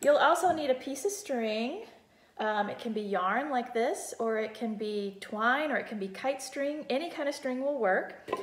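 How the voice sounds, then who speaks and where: Audible room echo surrounds the voice. A woman talks in a high pitch at a fairly slow pace. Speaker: music teacher. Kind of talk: tutorial. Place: kitchen. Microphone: phone near.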